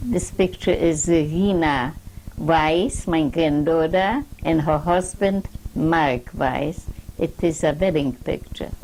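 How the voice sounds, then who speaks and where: Noticeable background noise sits behind a woman's voice. She talks at a very slow pace with ordinary pitch variation. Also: fairly low pitch for a woman. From Poland. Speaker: Holocaust survivor. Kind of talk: oral history interview. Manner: halting.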